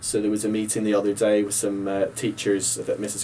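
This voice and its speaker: Speaking at a fairly quick pace, a man has a fairly low pitch and a dark, mellow tone. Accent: Northern Irish. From Northern Ireland, Ballymena. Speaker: teacher. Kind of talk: casual panel discussion.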